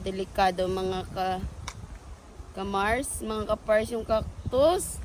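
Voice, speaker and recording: Noticeable background noise sits under a woman's medium-pitched voice. She speaks at a very slow pace with ordinary pitch variation. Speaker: vlogger. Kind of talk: casual vlog chat. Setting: outdoors. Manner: animated.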